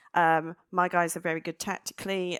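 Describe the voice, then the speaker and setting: A woman speaks at a fairly low pitch with fairly even intonation. The recording is very clean with a silent background and a dry, close sound with no echo. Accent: English. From England. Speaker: data analyst in ambulance service. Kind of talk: panel discussion.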